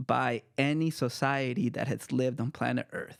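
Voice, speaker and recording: A man with an American accent speaks at a medium pitch and a fairly slow pace in a plain, everyday voice, recorded very cleanly against a silent background with a dry, close sound and no echo. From El Salvador, then Marin County, California. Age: 30s. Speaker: author and poet. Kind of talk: casual chat.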